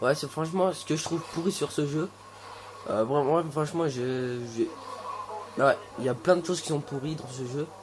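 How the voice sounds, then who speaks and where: With noticeable background noise behind him, a man speaks at a fairly high pitch with ordinary pitch variation and long, frequent pauses. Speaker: gaming youtuber. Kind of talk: gameplay commentary. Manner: fast; hesitant, many fillers.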